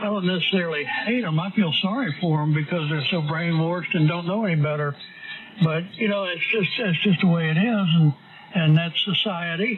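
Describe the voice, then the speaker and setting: There is noticeable background noise as a man talks at a fairly quick pace. His pitch is high, with ordinary variation. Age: 70s. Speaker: amateur radio operator. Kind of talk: casual on-air chat.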